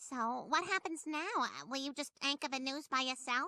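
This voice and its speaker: A woman uses a put-on character voice, pitched high, at a moderate pace with ordinary pitch variation. The sound is dry and close with no echo. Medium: short film.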